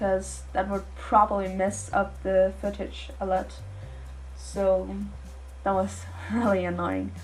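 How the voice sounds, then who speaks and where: A woman speaks at a very slow pace with long, frequent pauses. Music plays in the background, and the room echo is audible. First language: not English. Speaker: art youtuber. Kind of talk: voiceover narration.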